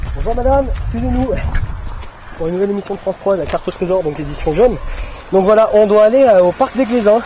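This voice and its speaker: Very fast speech from a high-pitched man, ordinary pitch variation, long and frequent pauses, and noticeable background noise. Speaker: student TV presenter doing a street game parody. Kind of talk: outdoor street game parody, casual. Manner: hesitant, many filler sounds.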